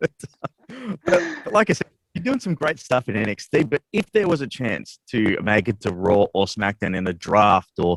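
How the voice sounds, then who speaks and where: In an Australian accent, a man speaks at a medium pitch and moderate pace, with very wide pitch swings and a dry, close sound with no echo. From Australia, Melbourne. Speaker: sports radio interviewer. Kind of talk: interview. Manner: casual, animated.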